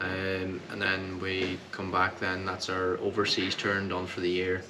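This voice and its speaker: With noticeable background noise and audible room echo, a man speaks at a fairly slow pace in a very deep, low pitch and monotone, flat intonation. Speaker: country singer. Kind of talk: casual interview. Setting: hotel after a gig.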